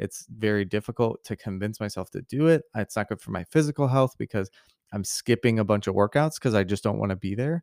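A man with an American accent speaks at a fairly quick pace, with a fairly low pitch and ordinary pitch variation. The recording is very clean with a silent background, and the sound is dry and close with no echo. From US Midwest (Missouri). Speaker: podcast host. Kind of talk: solo monologue. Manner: casual, many fillers and restarts.

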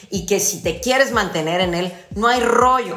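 A woman with a Mexican accent speaks at a fairly slow pace in an animated tone, her pitch swinging very widely, with audible room echo and noticeable background noise. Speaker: fitness podcast co-host. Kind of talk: casual chat.

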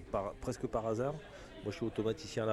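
Here is a man with an ordinary speaking voice and a fairly low pitch. He moves at a fairly quick pace with fairly even intonation. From Picardie, northern France. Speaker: refrigeration technician. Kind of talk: casual chat. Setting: trade show.

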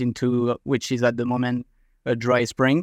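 Speaking at a moderate pace with a French accent, a man holds a monotone, flat intonation in a dry, close sound with no echo. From France. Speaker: mowing franchisee. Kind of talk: casual interview.

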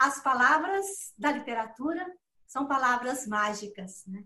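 A woman with a high pitch and a bright, sharp tone projects a raised voice at a very slow pace, her intonation lively. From Minas Gerais, Belo Horizonte. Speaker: writer. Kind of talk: interview.

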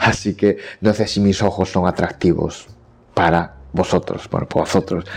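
Keeping a very even loudness, a man with a very deep, low pitch speaks at a moderate pace in a monotone, flat intonation. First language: Japanese (speaking Spanish). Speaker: Japanese language teacher. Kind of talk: solo podcast monologue. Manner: halting.

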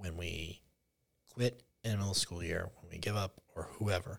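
A somewhat breathy voice in a very clean recording with a silent background. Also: man. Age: 40s. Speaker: public school teacher. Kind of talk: casual chat.

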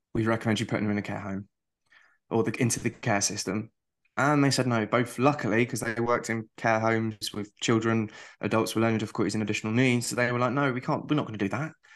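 A man with a British accent talks at a very fast pace and a medium pitch. His intonation is fairly even, and the background is quiet. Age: 30s. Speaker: visually impaired streamer and accessibility consultant. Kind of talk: casual chat.

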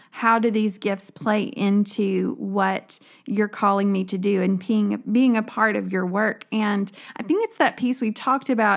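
This woman talks with a Southern US accent at a moderate pace, her medium pitch moving in fairly even intonation. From rural West Tennessee. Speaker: women's minister. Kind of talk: podcast conversation.

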